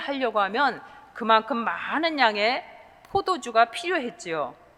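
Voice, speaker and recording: Speaking at a fairly slow pace, a woman uses a raised, projected voice with a bright, sharp tone and very wide pitch swings. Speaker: pastor. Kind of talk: sermon.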